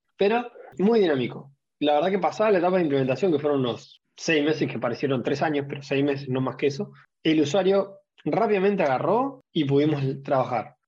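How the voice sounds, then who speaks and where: With a plain, everyday voice, a man speaks fairly quickly and fairly high in pitch, his intonation lively. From Argentina (Rosario). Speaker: procurement professional. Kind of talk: panel discussion.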